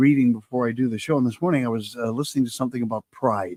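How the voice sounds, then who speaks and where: This is a man speaking. His pitch is medium. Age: 60s. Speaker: talk show host. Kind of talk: casual chat. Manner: halting.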